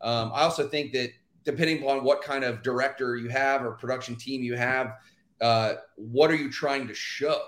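A man has a normal speaking voice at medium pitch, with an American accent. His intonation is fairly even, and his pace is moderate. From Texas, Houston. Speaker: dancer and actor. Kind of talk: casual interview. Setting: live stream.

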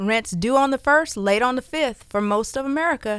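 An upbeat woman's voice, high-pitched, with ordinary pitch variation. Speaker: radio host and realtor. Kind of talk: radio DJ patter: live call-in radio show chat. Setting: radio studio. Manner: chatty, upbeat, laughing, ad-libbing with listeners.

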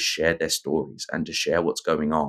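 In a southern English accent, the voice comes through on a very clean recording with a silent background. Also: man. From southern England. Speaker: nonprofit CEO and men's mental health advocate. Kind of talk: podcast interview.

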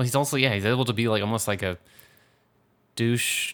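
This man speaks with ordinary pitch variation. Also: very clean recording, silent background. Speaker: movie podcast host. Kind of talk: casual chat.

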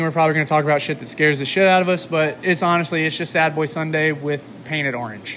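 A man with an American accent speaks very fast at a fairly high pitch, with fairly even intonation and hardly any pauses. Noticeable background noise and audible room echo are present. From Mississippi (Starkville). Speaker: podcast co-host. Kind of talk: casual chat. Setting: garage.

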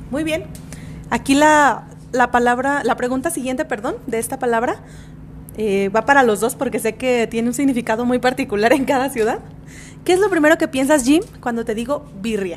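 Moderate pace and ordinary pitch variation. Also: woman, high pitch for a woman. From Mexico, Guadalajara. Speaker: podcast co-host. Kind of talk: casual chat.

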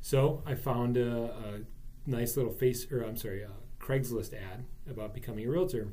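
Amid audible room echo, a man with an American accent speaks at a moderate pace and medium pitch in a dark, mellow, somewhat breathy tone with ordinary pitch variation. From Wisconsin, US Midwest. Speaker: real estate broker. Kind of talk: casual interview.

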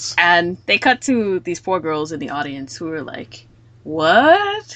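A woman speaks with a fairly low pitch. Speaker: podcast host discussing anime. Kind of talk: casual chat about anime episode. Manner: more emotional than the others.

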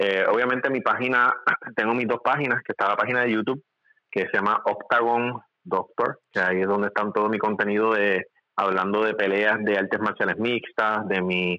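A man speaks at a fairly quick pace with a bright, sharp tone and medium pitch. His intonation is fairly even and his loudness very even. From Puerto Rico, Ponce. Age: 40s. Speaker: medical doctor. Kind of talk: casual interview.

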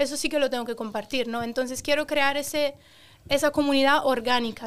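Her pitch high and her intonation monotone and flat, a woman speaks at a moderate pace. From Romania and Italy. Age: 20s. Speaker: social media creator. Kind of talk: casual chat.

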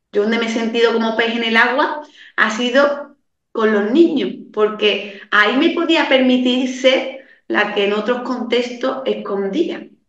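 A woman with a high voice speaks at a fairly slow pace, with audible echo in the room. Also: ordinary pitch variation. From Andalusia, Seville province countryside. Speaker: women's coach and mentor. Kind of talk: interview conversation.

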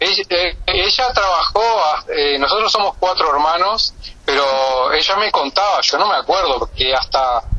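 Against noticeable background noise, a man with a high pitch talks at a fairly slow pace. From Uruguay, Canelones area. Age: 50s. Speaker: pediatric surgeon. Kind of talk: interview.

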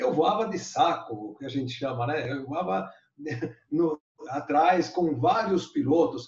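A man's voice with vocal fry, very wide pitch swings, and a fairly slow pace. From Brazil, Bauru (São Paulo state). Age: 70s. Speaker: glider pilot, eight-time national champion. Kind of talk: interview, storytelling.

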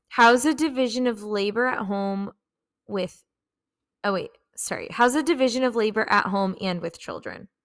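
Long, frequent pauses break up a woman's speech. She keeps a moderate pace with ordinary pitch variation. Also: fairly high pitch for a woman, very clean recording, silent background. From Mexican-American, US. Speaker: podcast host. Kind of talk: casual chat.

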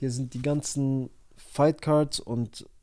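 This man's tone is dark and mellow, his intonation fairly even. Nothing sounds behind him in the very clean recording. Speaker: MMA podcaster. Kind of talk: casual solo podcast talk.

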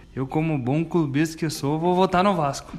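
There is noticeable background noise behind a man speaking at a fairly high pitch. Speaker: football fan panelist. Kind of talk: casual debate chat.

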